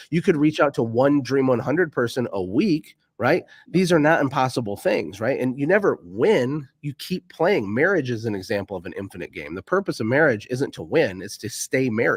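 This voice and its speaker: Energetic and nearly without pauses, a man at medium pitch makes very wide pitch swings and big swings in loudness on a very clean recording with a silent background. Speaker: entrepreneur and business coach. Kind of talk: interview. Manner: fast.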